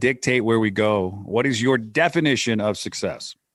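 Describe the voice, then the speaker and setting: This man has a medium-pitched voice. His pitch varies in an ordinary way. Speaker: podcast host. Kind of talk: podcast interview; scripted show intro. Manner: well-modulated cadence.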